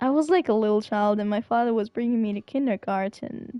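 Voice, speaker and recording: A woman with a non-native accent, fairly high pitch and dark, mellow tone, in a dry, close sound with no echo over a quiet background. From Syria and Germany. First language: not English. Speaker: streamer. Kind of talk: casual chat. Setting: live stream.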